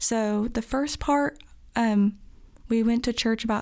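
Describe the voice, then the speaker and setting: Fairly high in pitch with fairly even intonation, a woman speaks in a plain, everyday voice. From Virginia, near Washington DC. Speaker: young adult church member. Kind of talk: casual interview.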